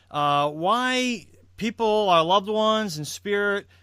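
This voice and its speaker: The tone is bright and sharp. The voice is raised and projected. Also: man. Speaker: podcast host. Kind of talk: interview host.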